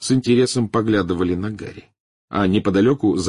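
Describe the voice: Plain reading aloud with ordinary pitch variation plays over a quiet background.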